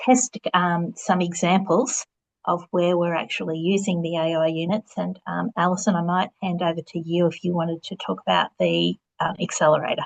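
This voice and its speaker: With an Australian accent, a woman speaks at a fairly low pitch and a moderate pace. Her intonation is fairly even, and the sound is dry and close with no echo. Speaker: vocational education presenter. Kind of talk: webinar presentation.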